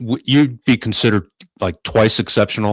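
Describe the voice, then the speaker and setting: A man talks in an unremarkable speaking voice, fairly low in pitch with ordinary pitch variation. The sound is dry and close, with no echo. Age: 60s. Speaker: podcast host. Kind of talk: podcast interview.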